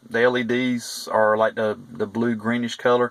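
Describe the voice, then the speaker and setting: Speaking with a Southern US accent, a man has a medium pitch. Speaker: private investigator reviewing car stereo. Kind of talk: product review. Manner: halting, many fillers.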